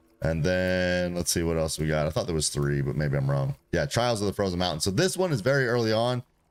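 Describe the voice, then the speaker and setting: A man speaks very fast in a very deep, low voice, with hardly any pauses. His tone is animated, his intonation lively and his loudness very even. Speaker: gaming streamer. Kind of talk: live stream gameplay commentary.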